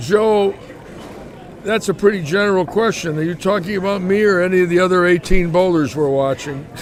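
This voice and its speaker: A man speaks in a high voice with an American accent, his pitch moving in an ordinary way. He talks at a fairly quick pace over noticeable background noise. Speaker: bowling live commentator. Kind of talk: live commentary. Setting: bowling alley live stream. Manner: casual, chatty.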